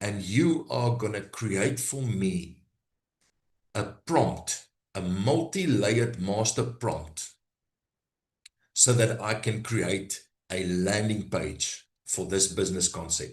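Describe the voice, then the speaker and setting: A man with a South African accent speaks at a very slow pace, with long, frequent pauses. His fairly low voice is somewhat breathy and has lively intonation. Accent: South African (Brakpan). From South Africa, Gauteng (East Rand). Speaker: AI business trainer. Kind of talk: live workshop demo. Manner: halting.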